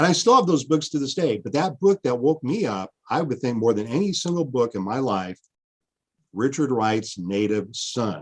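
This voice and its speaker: A man with an American accent and very wide pitch swings, against a quiet background. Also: medium pitch for a man, moderate pace. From Washington State. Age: 50s. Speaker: history professor. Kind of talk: interview conversation.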